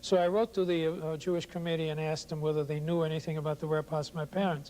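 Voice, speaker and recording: This man's voice is fairly high, with a dark, mellow tone. He talks at a very fast pace in a flat monotone. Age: 60s. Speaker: Holocaust survivor. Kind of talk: testimony interview. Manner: halting, many fillers and repeats.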